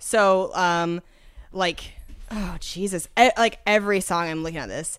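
A woman's normal speaking voice with an American accent, at medium pitch and a fairly slow pace, fairly even in intonation, with big swings in loudness. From Washington State. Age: 30s. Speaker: comedian. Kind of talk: casual chat.

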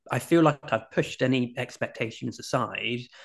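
A man talks with a British accent and fairly even intonation. The background is quiet. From UK. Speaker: author and life coach. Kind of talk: casual interview chat. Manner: hesitant, filler-heavy.

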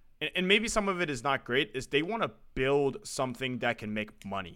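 An unremarkable speaking voice from a man, medium pitch, fairly quick pace and lively intonation. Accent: American. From US West Coast, San Francisco. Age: 20s. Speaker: sports podcast host. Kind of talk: casual chat.

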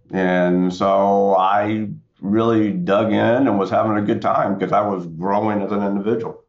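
Audible room echo surrounds a man speaking in an American accent at a fairly low pitch. His intonation is monotone and flat, and his pace is moderate. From US South, central North Carolina. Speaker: tech executive, military veteran. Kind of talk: interview.

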